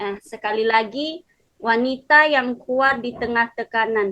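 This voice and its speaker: A woman with a fairly high pitch speaks at a fairly slow pace in a bright, sharp tone. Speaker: preacher. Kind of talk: sermon. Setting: video call. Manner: soft-spoken. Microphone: too quiet, voice sounds faint.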